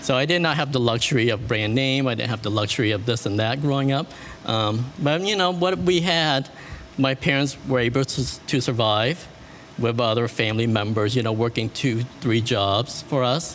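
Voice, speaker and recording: There is noticeable background noise. Through it, a man speaks at a medium pitch. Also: ordinary pitch variation, moderate pace, very even loudness. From Vietnam, then US from age eight. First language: French. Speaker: wedding and event planner. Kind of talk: interview.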